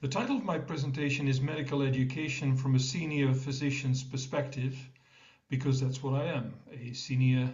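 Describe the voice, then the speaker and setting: Somewhat breathy and with audible room echo, a man of medium pitch talks at a moderate pace in a monotone, flat intonation. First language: Dutch. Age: 60s. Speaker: professor of medicine. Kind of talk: conference presentation.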